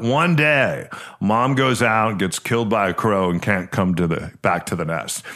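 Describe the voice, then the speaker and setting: With lively intonation, a man talks at a moderate pace in an ordinary speaking voice. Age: 50s. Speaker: podcast host and realtor. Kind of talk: casual chat.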